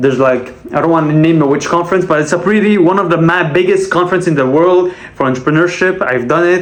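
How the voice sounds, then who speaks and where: In a Quebec accent, a man talks very fast at a high pitch with ordinary pitch variation and very even loudness. Noticeable background noise is present. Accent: Québécois French accent in English. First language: French. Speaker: sales rep and vlogger. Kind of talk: casual monologue vlog.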